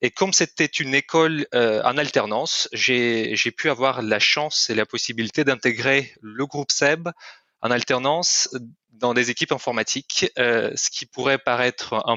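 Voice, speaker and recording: A man with a slight Russian accent talks at a fairly slow pace. His pitch is medium, with ordinary variation. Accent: slight Russian-speaking accent in French. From Kyrgyzstan. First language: Russian (speaking French). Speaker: corporate training manager. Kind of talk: podcast interview. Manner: hesitant, many fillers.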